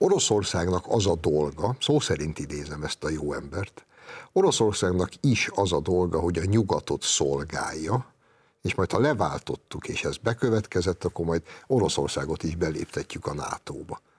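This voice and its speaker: A man with a very deep, low pitch speaks at a moderate pace. His voice is somewhat breathy, with lively intonation. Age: 50s. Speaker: writer and columnist; guest. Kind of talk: TV political discussion. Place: studio. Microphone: lapel.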